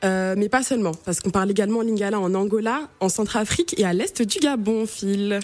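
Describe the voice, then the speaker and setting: Speaking at a fairly quick pace with hardly any pauses, a woman has an ordinary speaking voice, a medium pitch and ordinary pitch variation. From Cameroon. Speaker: radio columnist on African languages. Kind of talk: radio chronicle.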